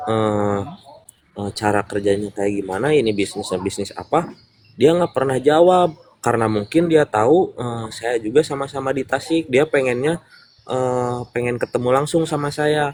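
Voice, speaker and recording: A man's medium-pitched voice, with ordinary pitch variation at a moderate pace. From West Java, Purwakarta. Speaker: business member sharing testimony. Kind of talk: interview testimony. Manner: hesitant, many fillers.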